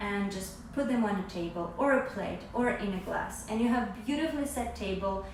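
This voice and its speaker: Audible room echo accompanies a woman with a non-native accent speaking at a moderate pace in a fairly high voice with lively intonation. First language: not English. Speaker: product maker and seller. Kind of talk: product demonstration. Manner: halting.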